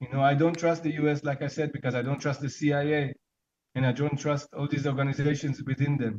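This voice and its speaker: A man speaks at a very fast pace with a fairly high pitch. His delivery is monotone and flat, and somewhat breathy. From Israel. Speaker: guest from Israel. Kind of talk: interview conversation.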